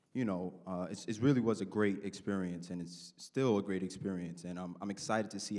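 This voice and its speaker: A dark, mellow tone with audible room echo. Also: man. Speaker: college student. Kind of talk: panel discussion. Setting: stage with audience.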